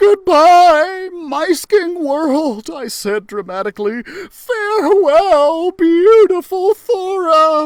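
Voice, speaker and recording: In a put-on character voice at an extremely high pitch, a woman talks at a very slow pace with very wide pitch swings and hardly any pauses. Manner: dramatic, theatrical, exaggerated.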